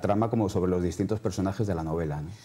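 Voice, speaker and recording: His intonation fairly even, a man is talking. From Madrid, Spain; Spain. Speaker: novelist; interviewee. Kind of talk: TV interview. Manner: halting, many repetitions. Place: studio. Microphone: lapel.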